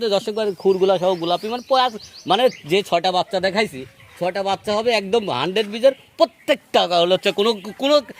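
High male pitch with ordinary variation, noticeable background noise behind it. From Bangladesh, Pabna district. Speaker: cattle farmer and seller. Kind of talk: sales pitch.

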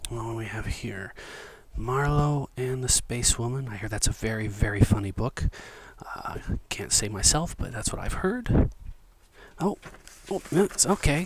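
A soft-spoken man whispering at a fairly slow pace, with long, frequent pauses, big swings in loudness, a dry sound with no echo and loud background noise. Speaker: ASMR video creator and book collector. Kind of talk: ASMR whisper role play, casual talk to camera. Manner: whispered, soft-spoken, friendly. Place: home room.

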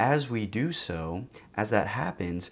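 The speaker is a man. His pitch sits fairly low. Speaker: psychedelic therapy educator. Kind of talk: explanatory talk to camera. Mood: calm, reflective. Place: studio.

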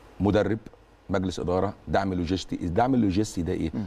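A dark, mellow tone is delivered at a moderate pace with ordinary pitch variation. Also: man. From Egypt. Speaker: football academy director and university professor; university professor. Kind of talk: TV interview. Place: studio.

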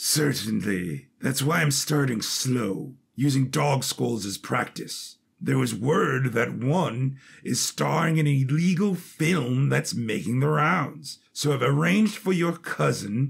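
In a put-on character voice, the speaker goes at a fairly slow pace with lively intonation. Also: man, medium pitch for a man. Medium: audio drama. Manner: genial, casually menacing.

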